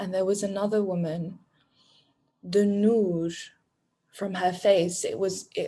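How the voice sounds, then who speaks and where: Her tone dark and mellow, a woman speaks in a somewhat breathy voice with ordinary pitch variation. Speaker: coaching program graduate. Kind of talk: interview. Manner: halting.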